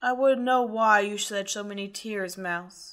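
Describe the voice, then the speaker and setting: A woman doing a put-on character voice at medium pitch, speaking at a moderate pace with fairly even intonation. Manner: cold, furious, controlled menace.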